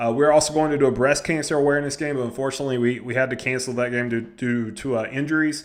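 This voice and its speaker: A man with a Southern US accent, medium pitch, a very fast pace with hardly any pauses, fairly even intonation, and audible room echo. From US South. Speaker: high school head football coach. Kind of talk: coaching advice vlog. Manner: casual, conversational.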